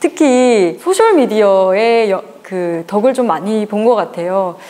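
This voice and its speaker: The woman's delivery is very slow. She uses lively intonation. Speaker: author. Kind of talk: interview answer. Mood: warm, grateful. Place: cafe. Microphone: lapel.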